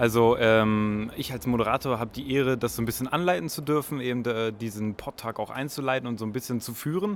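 Here is an ordinary speaking voice, moving at a fairly quick pace with hardly any pauses. Its pitch varies in an ordinary way. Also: man, medium pitch for a man. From northern Germany. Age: 20s. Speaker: podcaster. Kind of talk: casual chat. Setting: subway station and train.

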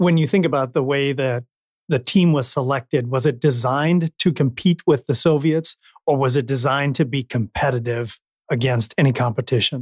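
A man's somewhat breathy voice, fairly high in pitch, at a moderate pace in a dry, close sound with no echo. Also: ordinary pitch variation. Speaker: podcast host. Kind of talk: interview; scripted narration.

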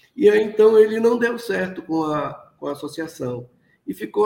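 A man talking at a moderate pace. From Amapá, northern Brazil (Oiapoque, riverside community). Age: 60s. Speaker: cocoa farmer and chocolate producer. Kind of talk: interview. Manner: halting, many repetitions and fillers.

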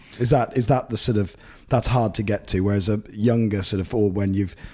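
With an English accent, a man with a fairly low pitch talks at a fairly quick pace using ordinary pitch variation. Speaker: golf podcast host. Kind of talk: casual interview. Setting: golf club compound during tournament.

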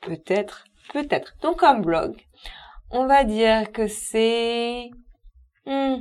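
Very slowly, a woman speaks at a fairly high pitch. The recording is very clean, with a silent background. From southern France, Perpignan. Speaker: novelist. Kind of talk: casual chat.

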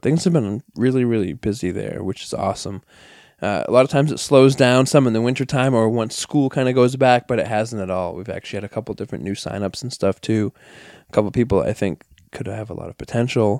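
A man with an American accent talks at a very fast pace in a medium pitch, with ordinary pitch variation and big swings in loudness. The sound is dry and close with no echo, and the recording is very clean with a silent background. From New York (Bronx). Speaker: wrestling trainer and promoter. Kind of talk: casual chat.

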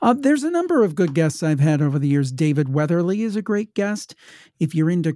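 With a Midwestern US accent, a man speaks at a fairly quick pace in a high-pitched voice of dark, mellow tone, recorded very cleanly with a silent background and a dry, close sound without echo. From Ohio. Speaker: paranormal podcaster. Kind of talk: casual chat.

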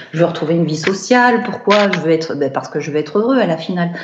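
Noticeable background noise and audible room echo surround the recording. A woman speaks at a fairly low pitch. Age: 40s. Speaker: professional home organizer. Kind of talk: remote interview. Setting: remote call. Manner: hesitant, many fillers.

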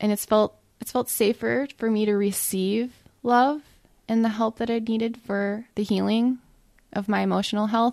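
The voice holds a monotone, flat intonation at a moderate pace, in a very clean recording with a silent background. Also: woman, fairly high pitch for a woman. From US Midwest, Ohio. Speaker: dietitian and podcast host. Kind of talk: casual monologue.

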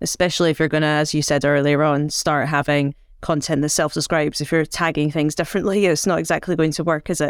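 Speaking very fast in a very deep, low voice, a woman keeps a monotone, flat intonation and very even loudness on a very clean recording with a silent background. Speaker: podcast host. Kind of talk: interview.

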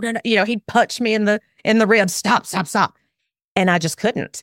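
With a Southern US accent, a woman speaks at a fairly high pitch in a dry, close sound with no echo. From Alabama. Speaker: parenting expert and former attorney. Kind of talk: casual interview conversation.

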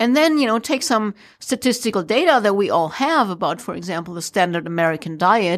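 A woman in a German accent speaks at medium pitch with lively intonation in a very clean recording with a silent background. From Germany. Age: 40s. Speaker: entrepreneur and former ranger. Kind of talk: interview. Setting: radio studio.

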